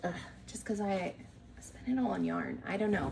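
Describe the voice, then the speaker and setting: A woman speaks over noticeable background noise. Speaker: knitting podcaster. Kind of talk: casual chat.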